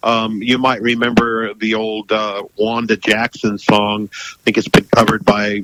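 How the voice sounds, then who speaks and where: Heard dry and close with no echo, a man with an American accent speaks at a moderate pace and a medium pitch. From United States. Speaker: musician, former radio presenter. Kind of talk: radio interview.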